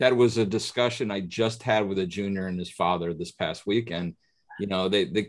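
A man with a normal speaking voice and an American accent talks at a fairly quick pace. His pitch is fairly low with ordinary variation, on a very clean recording with a silent background. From upstate New York, near Oneonta. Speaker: podcast host, golf instructor. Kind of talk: casual interview.

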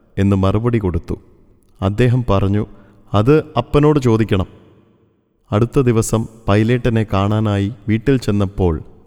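Fairly low in pitch with ordinary variation, a man speaks in a dark, mellow tone at a very even loudness. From Kerala, Thrissur. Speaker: retired store manager recalling former employer. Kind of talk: scripted narration of a memoir.

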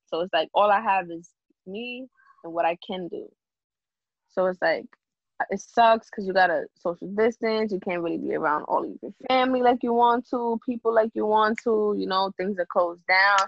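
A woman with a New York accent speaks at a moderate pace and medium pitch, with ordinary pitch variation and big swings in loudness. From Bronx, New York. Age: 20s. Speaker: singer songwriter. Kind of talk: casual interview.

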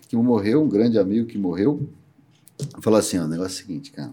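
His tone is dark and mellow. The man's pitch swings very widely. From Brazil, Campinas (São Paulo state). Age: 50s. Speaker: entrepreneur and investor. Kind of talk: interview.

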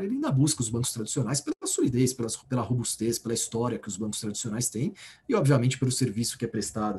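Somewhat breathy, with a dark, mellow tone, a man speaks very fast at medium pitch and ordinary pitch variation. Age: 30s. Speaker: bank executive. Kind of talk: interview.

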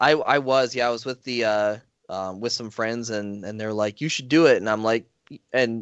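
This is a man with an American accent. He talks at a fairly quick pace. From US Midwest, rural North Dakota. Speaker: podcast host, guest. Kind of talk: casual chat.

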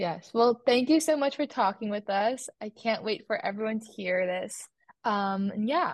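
A woman with an unremarkable speaking voice and a fairly high pitch speaks at a moderate pace with lively intonation against a quiet background, the sound dry and close with no echo. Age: young. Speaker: podcast host, college student. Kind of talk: casual chat.

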